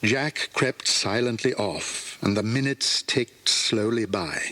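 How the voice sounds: Slow, lively-intoned speech from a man, fairly low in pitch with a bright, sharp tone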